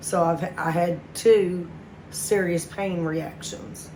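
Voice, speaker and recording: Noticeable background noise runs through the clip. A woman speaks at a fairly low pitch. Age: 40s. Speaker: heart attack survivor. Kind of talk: personal story told to camera.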